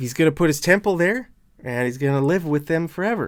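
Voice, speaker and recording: A fairly high-pitched man in a very clean recording with a silent background. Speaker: Bible teacher. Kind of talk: Bible teaching with scripture reading.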